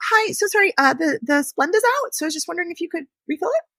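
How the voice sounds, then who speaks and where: In a put-on character voice, a woman speaks very fast in a squeaky, extremely high pitch with very wide pitch swings. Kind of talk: sweet, unintimidating customer voice. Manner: apologetic, polite.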